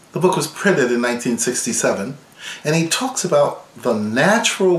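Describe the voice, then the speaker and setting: Very wide pitch swings from a man at a fairly slow pace, with audible room echo and noticeable background noise. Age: 60s. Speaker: violin professor. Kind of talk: tutorial.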